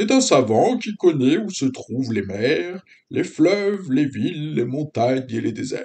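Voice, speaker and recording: A man's put-on character voice, fairly high in pitch, with very wide pitch swings at a moderate pace. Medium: read story. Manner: pedantic, self-important.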